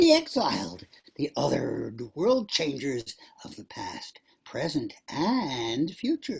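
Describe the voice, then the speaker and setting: Here a man speaks in a put-on character voice. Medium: stage play.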